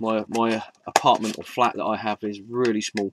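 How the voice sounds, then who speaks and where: The man's voice sounds dry with no echo, though background noise is noticeable. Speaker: collector reviewing figurines. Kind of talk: casual review commentary. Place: home room. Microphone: phone near.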